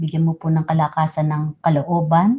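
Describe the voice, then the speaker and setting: A woman talks with a fairly low pitch and a somewhat breathy quality. Her tone is dark, mellow and warm. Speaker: livestream host leading prayer. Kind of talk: fervent spoken prayer in Tagalog, earnest and devotional, with code-switching to English. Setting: livestream. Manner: earnest, reverent, fervent, slow and pleading; warm and polite, uses respectful 'po'.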